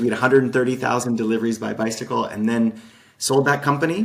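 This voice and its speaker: This man speaks with an American accent, at medium pitch and with ordinary pitch variation. It is a plain, everyday voice. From Utah, US (Salt Lake City). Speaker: game designer, entrepreneur. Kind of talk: podcast interview.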